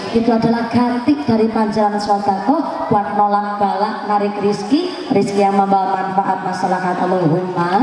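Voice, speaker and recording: With hardly any pauses and very even loudness, a woman talks at a medium pitch amid noticeable background noise and audible room echo. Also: ordinary pitch variation, moderate pace. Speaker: Islamic preacher. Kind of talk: sermon. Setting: religious gathering with PA system. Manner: animated. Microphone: echo effect on PA.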